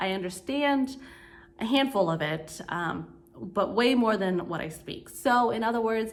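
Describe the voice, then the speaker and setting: Audible room echo surrounds a woman speaking at a fairly slow pace and fairly high pitch, with lively intonation. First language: Vietnamese. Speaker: vlogger. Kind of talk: casual vlog talk. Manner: casual, filler words.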